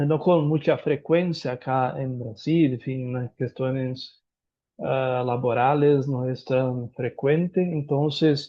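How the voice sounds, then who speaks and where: With a Brazilian accent, a man speaks very slowly at a medium pitch, his intonation fairly even. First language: Portuguese (speaking Spanish). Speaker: lawyer and professor. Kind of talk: conference talk. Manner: halting.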